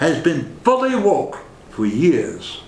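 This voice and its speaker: Speech with lively intonation moves at a very slow pace through audible room echo and noticeable background noise. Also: man. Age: 70s. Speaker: political commentator. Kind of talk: political monologue.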